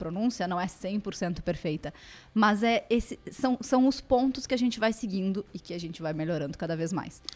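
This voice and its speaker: Her Brazilian accent comes through as a woman speaks at a moderate pace. Her intonation is lively. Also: very clean recording, silent background. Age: 30s. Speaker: lawyer and language student. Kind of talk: casual interview. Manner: halting, many fillers.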